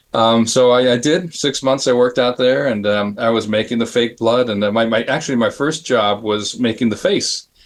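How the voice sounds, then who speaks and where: Here a man uses an ordinary speaking voice with fairly even intonation. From US Southwest, Phoenix, Arizona. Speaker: special effects artist. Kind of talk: panel interview storytelling. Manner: casual, many fillers and restarts.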